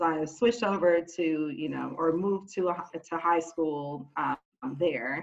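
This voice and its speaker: A woman's fairly low-pitched, unremarkable speaking voice with an American accent and ordinary pitch variation. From Oakland, California. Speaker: corporate team leader. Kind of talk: panel discussion.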